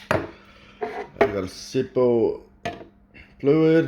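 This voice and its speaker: A man talks at a medium pitch. Noticeable background noise is present. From Sweden. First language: Swedish. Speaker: hobbyist vlogger. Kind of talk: casual unscripted talk. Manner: halting.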